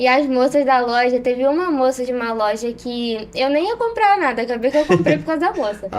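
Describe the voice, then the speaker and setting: A woman speaks at a fairly quick pace in a high pitch, with lively intonation. She barely pauses, and background noise is noticeable. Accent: Rio de Janeiro. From Rio de Janeiro state, Brazil.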